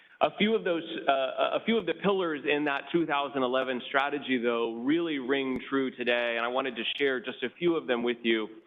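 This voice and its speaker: A man with an American accent, medium pitch, ordinary pitch variation and a fairly quick pace with hardly any pauses, over noticeable background noise. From California Central Valley, Tulare County. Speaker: state government official. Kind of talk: prepared public remarks at a hearing. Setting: public hearing with commissioners. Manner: halting, many fillers and restarts.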